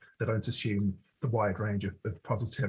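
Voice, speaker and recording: A man with a British accent speaks at a fairly quick pace in a somewhat breathy, fairly low voice with ordinary pitch variation. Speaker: podcast co-host. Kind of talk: casual chat.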